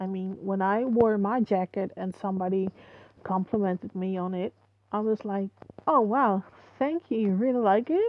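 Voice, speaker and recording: At a moderate pace, a woman with a non-native accent speaks at a medium pitch with ordinary pitch variation. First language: not English. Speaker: online video creator. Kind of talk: casual commentary. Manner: halting. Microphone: muffled microphone.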